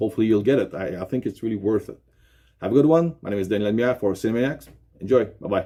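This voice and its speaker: With a Quebec accent, a man talks at a very fast pace in a dark, mellow tone and fairly low pitch, with ordinary pitch variation, on a very clean recording with a silent background. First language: French. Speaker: YouTube unboxing presenter. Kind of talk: product unboxing presentation. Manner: halting, many fillers.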